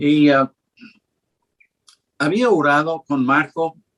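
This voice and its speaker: The speech moves at a very slow pace, with a dry, close sound with no echo. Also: man. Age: 70s. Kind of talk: interview. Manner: halting.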